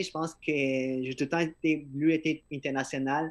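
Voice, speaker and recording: A man talks with fairly even intonation. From Peru. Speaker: podcaster and event organizer. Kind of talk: casual interview chat. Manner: halting, many repetitions. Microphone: phone microphone.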